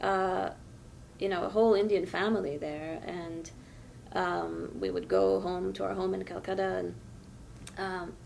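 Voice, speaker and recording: Long, frequent pauses amid audible room echo. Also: woman. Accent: American. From France. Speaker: novelist. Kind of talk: interview.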